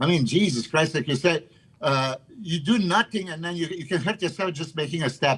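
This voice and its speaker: His pitch sits fairly high and varies in an ordinary way. The man has an unremarkable speaking voice and keeps a moderate pace. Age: 50s. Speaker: bodybuilder. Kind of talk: casual chat.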